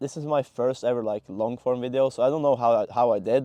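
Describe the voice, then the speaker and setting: A man with a non-native accent speaks fairly quickly at a medium pitch, his dark, mellow tone caught in a dry, close recording with no echo over a quiet background, his intonation fairly even. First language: not English. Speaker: content creator. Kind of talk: casual monologue to camera. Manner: halting, many fillers and restarts.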